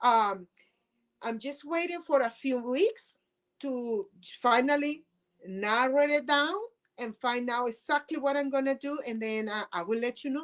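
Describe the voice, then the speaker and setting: A woman with a high pitch speaks at a fairly slow pace, with ordinary pitch variation and long, frequent pauses. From Venezuela. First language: Spanish. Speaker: political candidate and activist. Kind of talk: interview.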